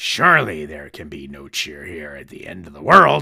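The man's voice is raspy, with big swings in loudness. He keeps a moderate pace. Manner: sneering, grumpy, later earnest.

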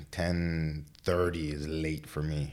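With audible room echo, a man speaks in an American accent. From Texas, Laredo. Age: 30s. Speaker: fitness trainer. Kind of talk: casual chat.

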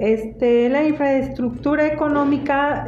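Someone speaks in a central Mexican accent with monotone, flat intonation at a fairly slow pace. Both audible room echo and noticeable background noise can be heard. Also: woman. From Mexico, Teziutlán, Puebla. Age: 50s. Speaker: interviewee, family member. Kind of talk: interview.

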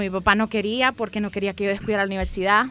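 A woman's bright, sharp tone. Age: 30s. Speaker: graphic designer and entrepreneur. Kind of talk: interview.

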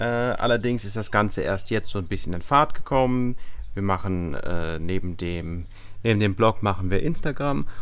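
A man's fairly low-pitched, a plain, everyday voice, with lively intonation at a moderate pace. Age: 20s. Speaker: travel blogger. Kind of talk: casual chat. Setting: outdoors.

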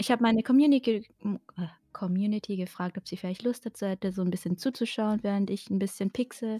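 On a very clean recording with a silent background, a woman speaks very fast in a medium-pitched, somewhat breathy voice with a dark, mellow tone and fairly even intonation, the sound dry and close with no echo. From Germany, Baden-Württemberg. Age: 20s. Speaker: artist and streamer. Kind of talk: casual interview.

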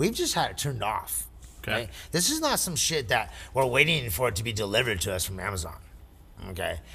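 Bright and sharp with vocal fry, a man's medium-pitched voice swings very widely in pitch as he talks very fast between long, frequent pauses. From Canyon Lake area. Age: 40s. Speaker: cannabis industry worker. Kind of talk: casual chat.

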